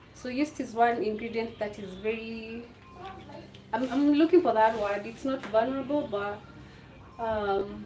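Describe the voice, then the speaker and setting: With audible room echo, a woman speaks at a fairly slow pace and a fairly high pitch, her ordinary pitch variation paired with big swings in loudness and long, frequent pauses. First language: a Kenyan language. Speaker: home cooking vlogger. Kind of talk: cooking tutorial livestream. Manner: casual, halting with fillers.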